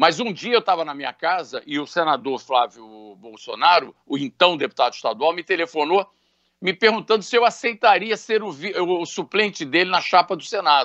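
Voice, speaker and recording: Against a quiet background, a man speaks with a high pitch for a man. His intonation is lively and his pace moderate. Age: 60s. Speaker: businessman; interviewee. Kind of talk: interview. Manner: halting. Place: home room. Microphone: video call.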